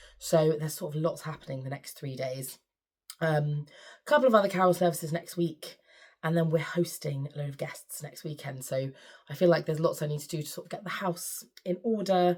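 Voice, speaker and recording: A woman with a fairly low, somewhat breathy voice speaks at a fairly quick pace with ordinary pitch variation and big swings in loudness. The recording is very clean, with a silent background. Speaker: sewing vlogger and choir leader. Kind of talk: casual vlog chat.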